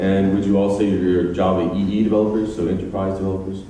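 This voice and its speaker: Over noticeable background noise and audible room echo, a man with an American accent speaks at a fairly quick pace in a very deep, low voice with monotone, flat intonation. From United States. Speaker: software engineer and conference speaker. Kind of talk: conference talk. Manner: hesitant, many fillers.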